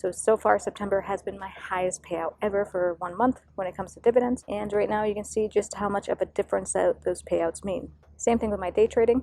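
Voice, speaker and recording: Soft-spoken and at a fairly quick pace, a woman talks at medium pitch with fairly even intonation and hardly any pauses while music plays in the background. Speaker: investing vlogger. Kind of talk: casual finance vlog. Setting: outdoors. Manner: quiet. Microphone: poor audio outdoors.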